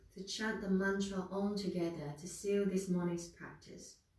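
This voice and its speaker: In a room with audible echo, a woman speaks in a calm tone at medium pitch and a fairly slow pace. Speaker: yoga instructor. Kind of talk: guided yoga class. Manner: calm, slow.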